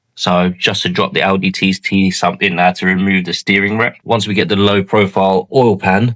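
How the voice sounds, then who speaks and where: Speaking with a strong London accent, a man talks at a moderate pace in a fairly low pitch with fairly even intonation. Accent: strong southeast London. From southeast London. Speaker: car mechanic YouTuber. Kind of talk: casual workshop vlog. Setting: garage workshop. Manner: casual, colloquial.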